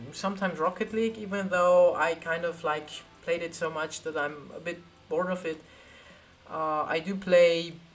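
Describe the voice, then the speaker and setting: Background music accompanies the voice. The delivery keeps a moderate pace. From Austria. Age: 20s. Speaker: tech YouTuber. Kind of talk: live stream Q&A.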